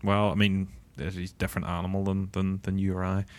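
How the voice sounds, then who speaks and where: A man talks very fast in a very deep, low voice with a Northern Irish accent. The recording is very clean with a silent background. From Northern Ireland. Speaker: MMA podcast host. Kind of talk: casual banter.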